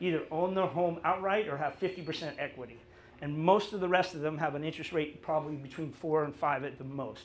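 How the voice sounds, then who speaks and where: A high-pitched man talks at a very fast pace with ordinary pitch variation. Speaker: real estate agent. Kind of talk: presentation to audience. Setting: live event in a cafe with audience.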